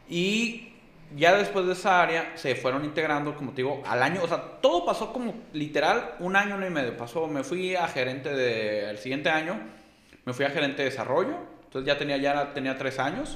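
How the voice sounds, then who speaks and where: A man with a fairly high pitch talks at a moderate pace, with audible room echo and noticeable background noise. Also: lively intonation. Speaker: insurance manager. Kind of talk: casual chat.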